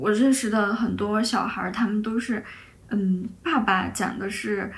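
A somewhat breathy woman talks at a fairly slow pace with a fairly high pitch. Her intonation is fairly even, and the room echo is audible. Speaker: podcast host. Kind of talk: casual chat.

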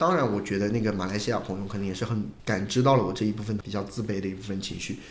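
Somewhat breathy, a man speaks at a fairly low pitch. Audible room echo surrounds his voice. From Hunan, China. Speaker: livestreamer. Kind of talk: casual chat.

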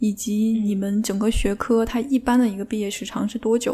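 A woman's fairly high, somewhat breathy voice carries a dark, mellow tone, with fairly even intonation at a moderate pace. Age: 30s. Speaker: PhD student. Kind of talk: casual chat.

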